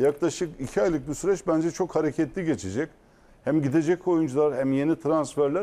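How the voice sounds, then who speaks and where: Speaking fairly quickly, a man uses a plain, everyday voice with ordinary pitch variation. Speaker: football pundit. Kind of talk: casual chat.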